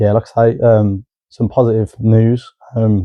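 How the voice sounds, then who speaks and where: In a British accent, a man speaks with a fairly low pitch and a monotone, flat intonation. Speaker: podcast co-host. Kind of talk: casual chat.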